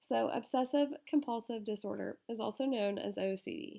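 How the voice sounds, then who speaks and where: A woman's fairly high-pitched voice with vocal fry and ordinary pitch variation. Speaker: student presenter. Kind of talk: class presentation.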